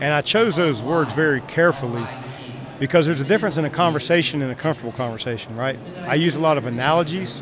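Noticeable background noise sits behind a man with a fairly high pitch. He talks at a very fast pace with ordinary pitch variation. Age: 50s. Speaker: sales trainer. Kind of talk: casual chat.

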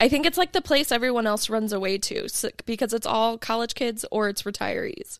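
On a very clean recording with a silent background, a woman uses an ordinary speaking voice, fairly high in pitch, with lively intonation. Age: 20s. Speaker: podcast guest, entrepreneur. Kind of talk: casual chat. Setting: in person in a workshop.

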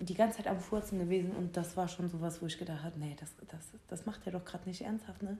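A woman's somewhat breathy voice, medium in pitch and dark and mellow in tone, moves at a moderate pace with ordinary pitch variation. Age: 20s. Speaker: podcast co-host. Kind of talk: casual chat.

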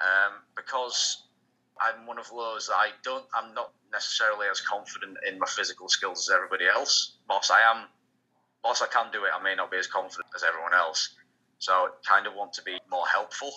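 The man talks fairly quickly in a British accent. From UK. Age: 30s. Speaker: pro wrestler. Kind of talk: interview.

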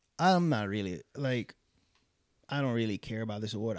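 His pitch moves in an ordinary way at a moderate speed. This man uses a normal speaking voice. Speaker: podcast co-host. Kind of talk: casual chat.

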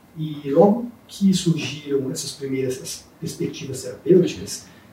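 A man's fairly high voice with ordinary pitch variation, audible room echo around it. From Brazil, interior of Espírito Santo. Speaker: neurologist and university professor. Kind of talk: interview.

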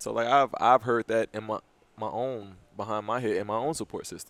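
A man talks at a fairly quick pace with a medium pitch. It is an ordinary speaking voice. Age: 20s. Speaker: podcast co-host. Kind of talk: casual chat.

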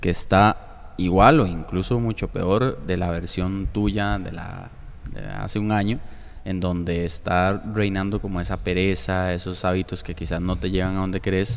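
A man talks at a fairly slow pace in a very deep, low pitch. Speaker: podcast host. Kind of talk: interview.

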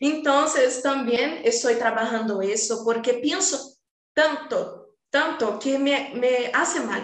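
Amid audible room echo, a woman speaks very slowly at a high pitch with ordinary pitch variation. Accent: Portuguese. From Brazil, Rio de Janeiro. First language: Portuguese (speaking Spanish). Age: 20s. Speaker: design student. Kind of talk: casual chat.

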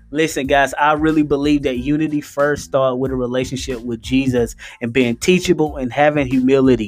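Over music in the background, a man talks at a fairly quick pace with hardly any pauses. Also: medium pitch for a man. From US South, Gaffney, South Carolina. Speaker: podcast host and pastor. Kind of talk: casual chat. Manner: animated.

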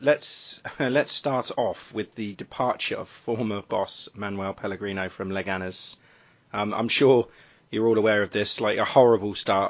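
At a moderate pace, a man talks in an ordinary speaking voice with a fairly low pitch. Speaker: podcast host. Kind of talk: casual chat.

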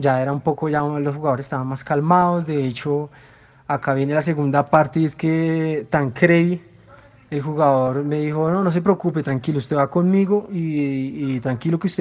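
This man has an ordinary speaking voice with a fairly high pitch. He keeps a moderate pace and fairly even intonation. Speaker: football fan. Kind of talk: recorded voice message.

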